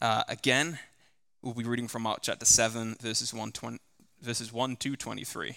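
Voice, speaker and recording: Speaking fairly quickly in an English accent, a man uses a bright, sharp tone at a medium pitch with monotone, flat intonation. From England. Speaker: scripture reader at church service. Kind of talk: scripture reading aloud. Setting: church.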